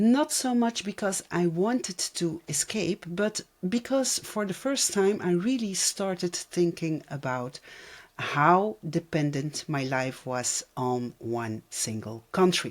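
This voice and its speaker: At a very slow pace, a woman with a non-native accent speaks in a fairly low voice that swings very widely in pitch. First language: not English. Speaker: vlogger. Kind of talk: personal vlog.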